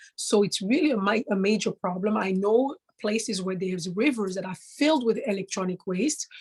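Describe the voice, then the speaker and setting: Somewhat breathy speech comes at a fairly quick pace with hardly any pauses, in a dry, close sound with no echo. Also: woman, medium pitch for a woman, ordinary pitch variation. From Central Africa (DR Congo, Kasai). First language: Tshiluba (Congolese native language). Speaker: traditional monarch and environmental speaker. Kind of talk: interview. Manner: halting, with frequent fillers.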